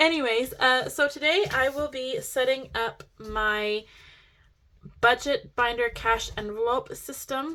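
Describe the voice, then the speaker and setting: A raised, projected voice with an excited, bright, sharp tone moves at a fairly slow pace. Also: woman, high pitch for a woman, ordinary pitch variation. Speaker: budgeting vlogger. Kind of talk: casual tutorial vlog.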